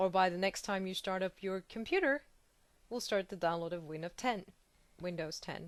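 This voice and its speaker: A woman speaks at a moderate pace with a non-native accent, her medium pitch showing ordinary pitch variation. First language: not English. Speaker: video blogger. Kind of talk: angry rant. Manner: hesitant, many fillers.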